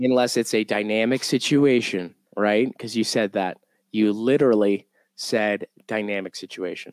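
A man with a fairly low pitch and an unremarkable speaking voice talks at a moderate pace, the sound dry and close with no echo in a very clean recording with a silent background. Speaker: podcast host. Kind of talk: casual banter.

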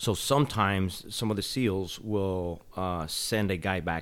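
A man talks in a very deep, low pitch. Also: hardly any pauses. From southern New Mexico, Las Cruces. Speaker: army veteran, memorial foundation head. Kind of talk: casual interview. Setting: in his home.

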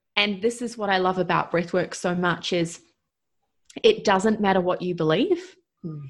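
Speaking at a moderate pace with fairly even intonation, this voice has a New Zealand accent and long, frequent pauses. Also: woman, medium pitch for a woman. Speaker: breathwork coach. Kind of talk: interview.

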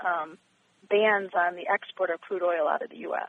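A woman with a medium-pitched voice talks at a moderate speed. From Michigan, US. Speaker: attorney and judge. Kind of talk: radio interview. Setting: phone call. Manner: hesitant, many fillers.

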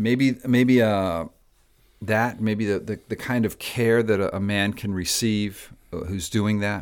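Very slow American-accented speech from a man, fairly low in pitch with fairly even intonation, in a very clean recording with a silent background. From Miami, Florida (Cuban American family). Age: 60s. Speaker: pastor. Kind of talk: interview conversation.

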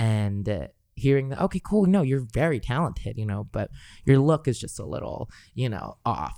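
In a Californian accent, a man speaks at a medium pitch with very wide pitch swings, on a very clean recording with a silent background. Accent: Californian American. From Los Angeles, California. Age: 20s. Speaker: singer. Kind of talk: casual chat. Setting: studio.

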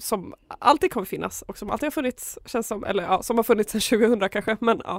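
A woman speaks with lively intonation. The sound is dry and close with no echo, on a very clean recording with a silent background. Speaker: student radio host. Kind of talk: casual chat. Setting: studio.

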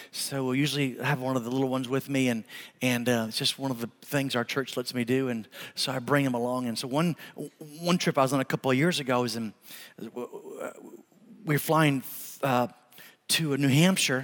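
A man at medium pitch, fairly quick in pace, with long, frequent pauses. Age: 50s. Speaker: pastor. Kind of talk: sermon. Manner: animated.

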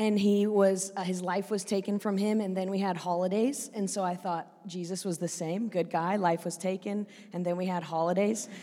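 A woman with a West Coast accent speaks at a medium pitch in a dark, mellow tone. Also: moderate pace. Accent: American West Coast. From Oregon, US West Coast. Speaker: preacher, church leader. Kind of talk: interview, storytelling. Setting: church.

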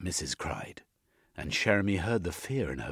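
Over a quiet background, a natural voice reads aloud, its pitch varying in an ordinary way.

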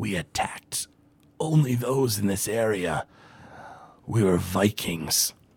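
At a very slow pace, a man talks in a put-on character voice. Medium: actual play.

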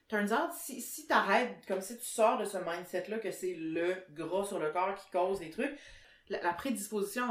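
A woman with a Quebec accent, lively intonation and audible room echo. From Quebec, Sherbrooke. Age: 30s. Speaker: podcast host, journalist. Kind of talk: casual chat.

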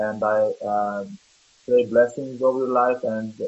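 A man's medium-pitched voice with monotone, flat intonation. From Lebanon. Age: 30s. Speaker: church member. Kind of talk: prayer.

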